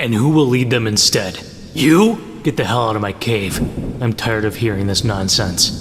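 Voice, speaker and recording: Over clear background noise, a man does a cartoonish character voice at a medium pitch and moderate pace. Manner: angry, shouting.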